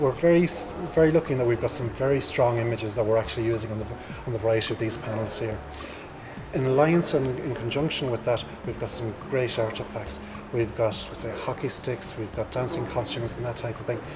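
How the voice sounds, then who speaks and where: In an Irish accent, the speaker talks at a very fast pace with ordinary pitch variation, amid audible room echo and noticeable background noise. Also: man. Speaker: museum curator. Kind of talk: interview at exhibition opening. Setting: museum exhibition. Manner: halting.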